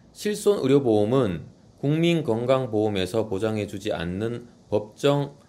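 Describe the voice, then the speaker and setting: At a fairly slow pace, a man with a medium pitch and a dark, mellow tone speaks with ordinary pitch variation. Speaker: insurance exam tutor. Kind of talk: exam question walkthrough; outro to viewers. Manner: reading aloud methodically.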